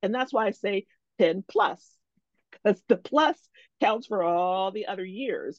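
A woman with a plain, everyday voice speaks at a medium pitch with ordinary pitch variation, the sound dry and close with no echo. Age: 50s. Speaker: career coach. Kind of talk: interview.

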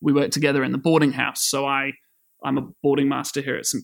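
With a New Zealand accent, a man speaks at a fairly high pitch in monotone, flat intonation, recorded very cleanly against a silent background. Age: 20s. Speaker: secondary school science teacher. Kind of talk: casual interview. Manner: hesitant, many fillers.

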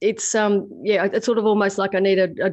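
A woman with an Australian accent talks at a fairly quick pace. Her medium pitch stays monotone and flat. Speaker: podcast co-host, property investor. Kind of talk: casual chat.

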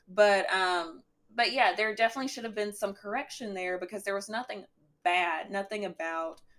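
A woman with a strong Southern US accent talks at a moderate pace. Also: medium pitch for a woman, ordinary pitch variation. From Alabama. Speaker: guest, podcast host's girlfriend, essay writer. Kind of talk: casual podcast conversation.

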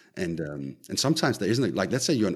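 The voice moves through very wide pitch swings. Vocal fry runs through it. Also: man. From Denmark. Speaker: tech company co-founder. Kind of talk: interview. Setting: remote call. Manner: halting.

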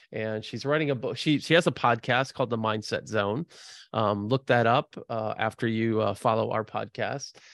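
Recorded dry and close with no echo against a quiet background, a man speaks at medium pitch and a moderate pace with ordinary pitch variation. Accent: American. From US Midwest, Chicago. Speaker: podcast host. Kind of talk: casual chat. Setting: remote call.

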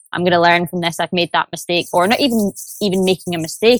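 Speaking at a very fast pace with a Glaswegian accent, a woman uses a fairly low pitch, and the sound is dry and close with no echo. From Scotland, Glasgow. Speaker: sales development rep. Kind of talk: interview. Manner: enthusiastic.

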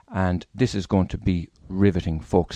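In an Irish accent, a man with a very deep, low pitch and a dark, mellow tone talks at a fairly quick pace, the sound dry and close with no echo over a quiet background. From Ireland. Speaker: radio host. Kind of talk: interview.

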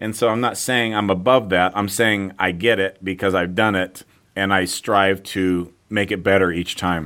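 Very clean recording with a silent background of a man with fairly low pitch and an unremarkable speaking voice. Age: 40s. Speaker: fitness entrepreneur and author. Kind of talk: interview.

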